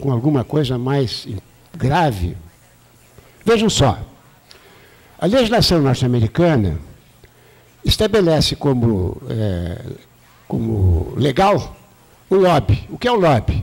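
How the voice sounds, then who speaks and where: Very slowly and with long, frequent pauses, a man with a fairly high pitch swings very widely in pitch while keeping his loudness very even. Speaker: retired professor, debate panelist. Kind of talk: panel debate talk. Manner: halting, many restarts.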